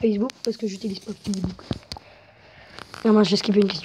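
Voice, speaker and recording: Noticeable background noise runs under a woman's voice. She speaks at a medium pitch in a flat monotone. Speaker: YouTuber. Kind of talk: casual chat. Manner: loud.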